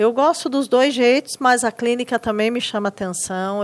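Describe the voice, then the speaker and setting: A woman with a strong Rio Grande do Sul accent, fairly slow pace and ordinary pitch variation. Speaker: teacher in inclusive education. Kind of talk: podcast interview.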